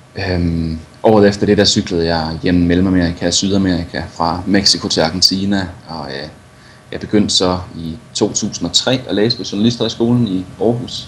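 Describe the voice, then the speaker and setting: Noticeable noise sits behind a man with a very deep, low voice. He speaks at a moderate pace with ordinary pitch variation. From Denmark, Viborg. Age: 30s. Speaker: adventure cyclist and journalist. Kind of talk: interview.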